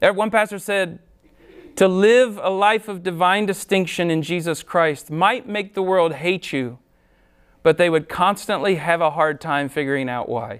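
With an American accent, the speaker goes at a moderate speed and varies pitch in an ordinary way. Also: man, high pitch for a man. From Ohio, US Midwest. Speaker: pastor. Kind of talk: sermon.

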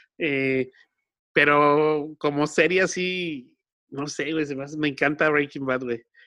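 In a Mexican accent, a man speaks at a very slow pace in a fairly high voice, his tone bright and sharp and his intonation monotone and flat, against a quiet background. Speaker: podcast host. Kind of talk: casual chat. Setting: recording from home.

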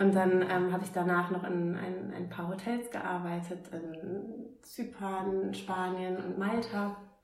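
A woman speaks at a medium pitch in a monotone, flat voice, very slowly and with hardly any pauses. Noticeable background noise and audible room echo fill the recording. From northern Germany, Oldenburg. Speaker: startup founder. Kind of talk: interview. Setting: recorded over drinks.

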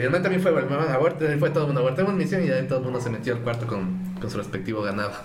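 A man's medium-pitched voice with lively intonation at a very fast pace, hardly any pauses, audible room echo and noticeable background noise. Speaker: podcast co-host. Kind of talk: casual chat. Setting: TikTok live.

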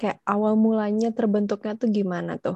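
This woman's voice has a dark, mellow tone and a monotone, flat intonation at a moderate pace. The sound is dry and close with no echo, over a quiet background. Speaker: student podcast host. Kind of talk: casual interview chat.

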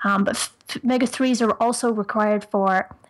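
At a moderate pace, a woman with a fairly high pitch speaks with fairly even intonation. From Ireland. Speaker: nutritionist and personal trainer. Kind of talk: podcast interview.

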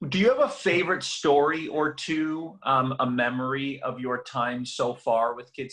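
A man talks at a medium pitch. His tone is bright and sharp. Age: 30s. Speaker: podcast host. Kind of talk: interview. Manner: animated.

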